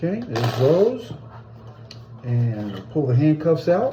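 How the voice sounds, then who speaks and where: Noticeable background noise is present throughout. Over it, a man talks at a very slow pace. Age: 60s. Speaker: hobbyist video blogger. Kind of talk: casual unboxing video. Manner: casual, halting.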